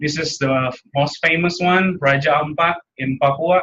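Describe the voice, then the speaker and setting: A man speaks with an Indonesian accent and a bright, sharp tone. His intonation stays fairly even. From Indonesia, Jakarta. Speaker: graduate student and park ranger. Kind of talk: seminar presentation. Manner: halting.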